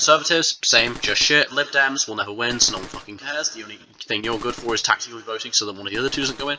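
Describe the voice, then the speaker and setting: Speaking very fast with a British accent, a man talks at a medium pitch over noticeable background noise. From England. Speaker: gaming YouTuber. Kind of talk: casual rant over gameplay. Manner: animated.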